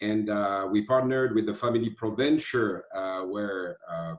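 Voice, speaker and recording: In a French accent, a man speaks at a fairly low pitch with fairly even intonation. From France. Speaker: lighting company executive. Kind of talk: casual online presentation. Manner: halting, many fillers.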